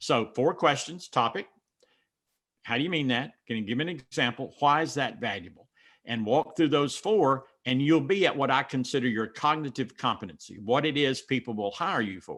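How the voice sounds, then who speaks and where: Lively intonation and big swings in loudness mark this fairly quick delivery in a Southern US accent. The background is quiet. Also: man. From mountains of North Carolina. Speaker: business speaker or consultant.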